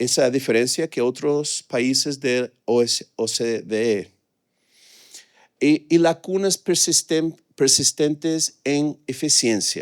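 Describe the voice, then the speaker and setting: A man's fairly high-pitched voice at a very slow pace, with long, frequent pauses and ordinary pitch variation, in dry, close sound with no echo on a very clean recording with a silent background. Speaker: economist presenting research. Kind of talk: conference presentation. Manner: hesitant, many filler sounds.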